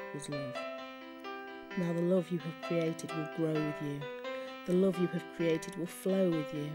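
Music plays behind a woman with a British accent whose voice is very deep and low, with ordinary pitch variation and long, frequent pauses. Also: moderate pace. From England. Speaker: poet. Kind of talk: poetry reading.

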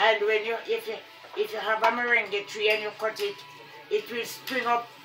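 Over music in the background, a woman speaks at a moderate pace with a fairly high pitch and fairly even intonation. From Jamaica. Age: 80s+. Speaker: retired teacher. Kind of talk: casual conversation about gardening. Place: home room. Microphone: phone near.

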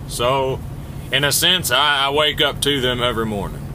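Noticeable background noise behind a man speaking. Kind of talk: casual vlog chat. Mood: reflective, somewhat low. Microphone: phone near.

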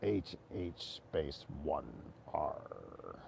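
Over clear background noise, a man performs a put-on character voice. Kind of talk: prank phone call.

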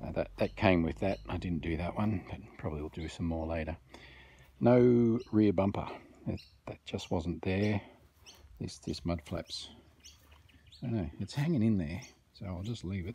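With long, frequent pauses, a man speaks in a very deep, low, somewhat breathy voice with ordinary pitch variation, the sound dry with no echo over light background noise. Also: moderate pace. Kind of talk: casual vlog chat. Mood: dry, joking. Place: garden. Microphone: phone near.

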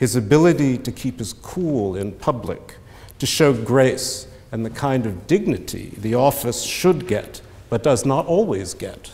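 Somewhat breathy male speech, delivered fairly slowly. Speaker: speaker. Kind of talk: formal debate speech. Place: hall. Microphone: podium.

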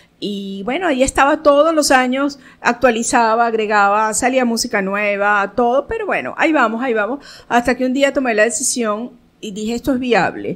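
Her voice pitched high, a woman talks at a moderate speed, her pitch moving in an ordinary way. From Caracas, Venezuela; Venezuela. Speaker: theatre director and producer; interview guest. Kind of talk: radio interview. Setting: radio studio. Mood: proud, reflective. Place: studio. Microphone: studio mic.

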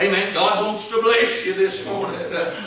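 Strong room echo around a high-pitched man at a moderate pace with ordinary pitch variation. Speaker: Baptist preacher. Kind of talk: church sermon. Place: church. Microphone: camera far.

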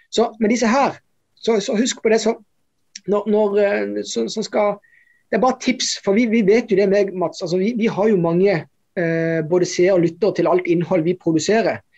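A fairly slow pace over a quiet background. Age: 40s. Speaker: investment podcast co-host. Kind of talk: casual chat. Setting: office. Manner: halting. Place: office.

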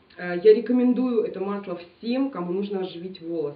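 There is audible room echo around a woman's voice. She uses ordinary pitch variation at a moderate pace. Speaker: beauty blogger. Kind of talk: product review vlog. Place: home room.

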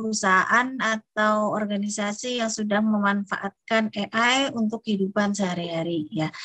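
A woman speaks at a moderate speed and with fairly even intonation, the background quiet. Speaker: university lecturer. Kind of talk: online lecture. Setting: video call. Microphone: unstable internet connection, audio lag; video call.

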